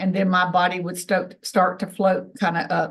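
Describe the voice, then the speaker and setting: This woman's voice sits at medium pitch and is somewhat breathy. She speaks at a moderate pace. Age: 60s. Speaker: ufologist and contactee. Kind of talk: testimony.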